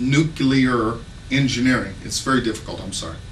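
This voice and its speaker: A man's medium-pitched voice at a moderate pace, with a slight Southern US accent, noticeable background noise and audible room echo. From Texas. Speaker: congressional candidate. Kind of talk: campaign speech. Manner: halting.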